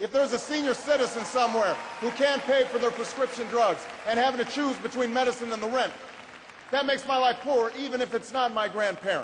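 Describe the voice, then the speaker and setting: Crowd noise fills the background as a man talks at a very fast pace. His pitch is extremely high, with fairly even intonation. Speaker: politician. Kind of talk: political speech.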